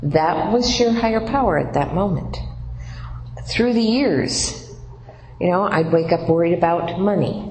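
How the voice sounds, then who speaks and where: A fairly low-pitched woman at a fairly slow pace, with lively intonation, very even loudness and long, frequent pauses, amid noticeable background noise and audible room echo. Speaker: workshop leader at recovery program. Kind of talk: workshop talk. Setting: room with audience. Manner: halting.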